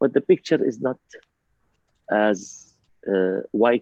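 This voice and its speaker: A man with an Arabic accent, dry and close with no echo. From Palestine. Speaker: ambassador. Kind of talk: panel discussion. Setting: video call. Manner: animated.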